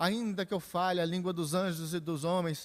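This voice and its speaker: Recorded with a dry, close sound and no echo, a man speaks in a high pitch. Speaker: pastor teaching Bible study. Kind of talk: Bible study lecture.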